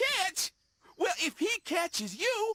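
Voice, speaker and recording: Squeaky put-on character voice at an extremely high pitch. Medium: cartoon. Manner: slangy, laid-back, rhythmic cool talk.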